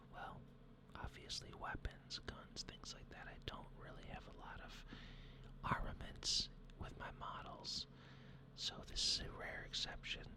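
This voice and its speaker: Over noticeable background noise, a man whispers at a fairly slow pace, with long, frequent pauses and big swings in loudness. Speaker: hobby miniature painter and 3D printing channel host. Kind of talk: hobby painting tutorial narration to camera.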